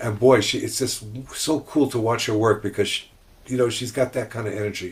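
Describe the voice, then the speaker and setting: The man sounds somewhat breathy. He talks at a fairly quick pace. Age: 70s. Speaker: rabbi. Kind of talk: casual chat.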